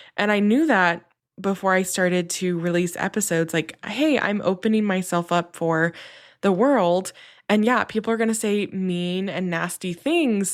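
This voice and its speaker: Medium-pitched speech from a woman, recorded very cleanly against a silent background. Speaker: podcast host. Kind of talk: casual monologue to listeners. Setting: home desk. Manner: slow; hesitant, many fillers.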